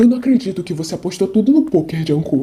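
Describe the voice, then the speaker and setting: A man speaks in a put-on character voice, high-pitched and very fast. His pitch swings very widely. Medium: read story. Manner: exasperated.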